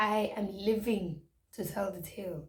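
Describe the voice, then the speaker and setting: Somewhat breathy, a woman with a Zulu accent talks in a medium pitch with ordinary pitch variation. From South Africa. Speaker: YouTuber. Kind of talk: storytime vlog. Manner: code-switching English and Zulu.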